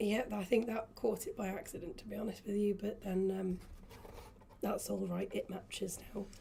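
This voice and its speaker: A quiet woman at medium pitch, fairly even intonation, and a moderate pace. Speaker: in-house designer. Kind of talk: live stream chat.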